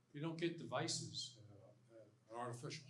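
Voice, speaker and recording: Audible room echo hangs on this recording. A man talks with ordinary pitch variation. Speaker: panelist on AI in healthcare. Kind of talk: panel discussion. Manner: loud.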